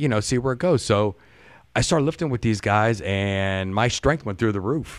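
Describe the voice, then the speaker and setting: An unremarkable speaking voice from a man with an American accent, fairly low in pitch, with ordinary pitch variation and a moderate pace, in a very clean recording with a silent background. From US Midwest, Youngstown area, Ohio. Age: 50s. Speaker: auto worker and podcaster. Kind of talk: casual interview chat. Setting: live-streamed recording.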